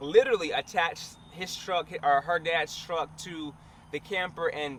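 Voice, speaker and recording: This man speaks at a fairly slow pace. His pitch is fairly high. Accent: American. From US South, Alabama. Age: 20s. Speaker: vlogger and entrepreneur. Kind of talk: vlog talking to camera. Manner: casual, conversational.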